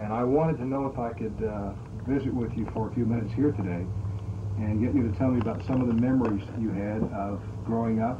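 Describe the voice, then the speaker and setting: Fairly quick and fairly even in intonation, the man's medium-pitched voice cuts through noticeable background noise. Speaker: family interviewer. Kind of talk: oral history interview. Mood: warm, relaxed. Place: home room. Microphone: old recording.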